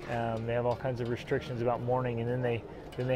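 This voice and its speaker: Noticeable background noise surrounds a man's voice. The sound itself is dry with no echo. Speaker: travel vlogger. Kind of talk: casual vlog chat. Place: waterside. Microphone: lapel.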